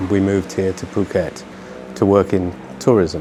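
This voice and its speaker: Someone speaks with a British accent, with noticeable noise behind them. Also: man. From UK. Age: 60s. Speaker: expat business owner. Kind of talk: interview. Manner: halting, repeats words.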